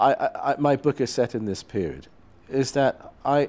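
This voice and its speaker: The man talking shows ordinary pitch variation. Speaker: guest. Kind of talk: interview answer. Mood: thoughtful, calm. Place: studio.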